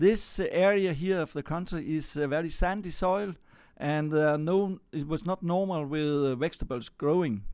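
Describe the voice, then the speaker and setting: A man speaks with a Danish accent and a fairly high pitch, with ordinary pitch variation. He keeps a moderate pace over a quiet background. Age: 60s. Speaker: farmer. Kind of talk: interview. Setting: on a farm. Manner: halting.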